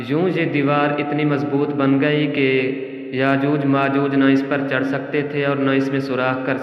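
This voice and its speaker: This man's voice sits at a fairly high pitch, with monotone, flat intonation. Noticeable background noise runs beneath him. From Pakistan. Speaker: voice-over artist. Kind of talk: Islamic story narration.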